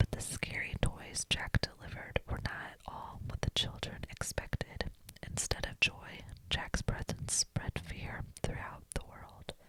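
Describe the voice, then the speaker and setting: A woman whispers at a fairly slow pace. The sound is dry and close with no echo, yet there is noticeable background noise. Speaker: ASMR reader. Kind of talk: whispered bedtime story reading. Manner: whispered, soft.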